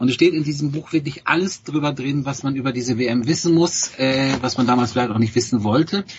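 Delivery is fairly quick, with hardly any pauses and ordinary pitch variation. Noticeable background noise runs underneath. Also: man, medium pitch for a man. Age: 50s. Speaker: newspaper journalist. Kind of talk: casual chat.

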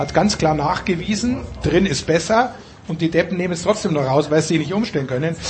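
Quick-paced and high-pitched, a man talks with ordinary pitch variation over noticeable background noise. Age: old. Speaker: sports commentator. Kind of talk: casual chat.

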